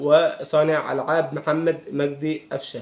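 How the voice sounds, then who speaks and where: A man talks with an Egyptian accent. His intonation is monotone and flat. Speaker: football commentator youtuber. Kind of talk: casual vlog. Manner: hesitant with fillers.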